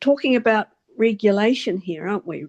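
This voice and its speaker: A woman's voice sounds dry and close with no echo over a quiet background. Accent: New Zealand. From New Zealand, Wellington. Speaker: meetup participant. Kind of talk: group video call discussion. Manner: halting.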